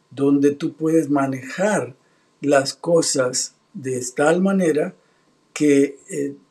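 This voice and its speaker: Against a quiet background, a man speaks at a very slow pace in a fairly high pitch, with fairly even intonation and a dark, mellow tone. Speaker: pastor. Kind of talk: religious talk show host interview. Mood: warm, smiling. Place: home room.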